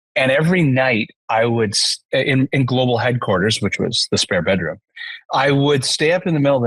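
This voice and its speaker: With a Canadian accent, a man speaks at a fairly quick pace and medium pitch, somewhat breathy, with ordinary pitch variation and a dry, close sound with no echo. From Canada. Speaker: entrepreneur, CEO. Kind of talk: podcast interview.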